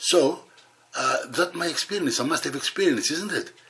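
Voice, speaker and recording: A man with lively intonation at a moderate pace, over noticeable background noise. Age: 70s. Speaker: bodybuilder and video host. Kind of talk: casual vlog talk to camera. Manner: halting.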